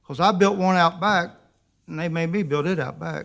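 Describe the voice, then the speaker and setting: Against a silent background in a very clean recording, a man with a rural South Carolina accent talks at a fairly quick pace with ordinary pitch variation. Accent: US Southern, rural South Carolina. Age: 60s. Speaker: resident speaking at public comment. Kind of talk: public comment at council meeting. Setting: county council meeting.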